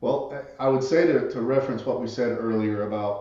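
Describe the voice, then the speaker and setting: A man with a Southern US accent speaks at a medium pitch and moderate pace. Noticeable background noise is present. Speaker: author and entrepreneurship expert. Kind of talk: podcast interview.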